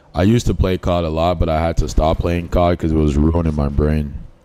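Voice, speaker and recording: Noticeable background noise runs under this recording. A man talks in a very deep, low voice. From Liberia, raised partly in Boston. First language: Liberian English. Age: 20s. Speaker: gaming streamer. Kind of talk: casual livestream chat while gaming.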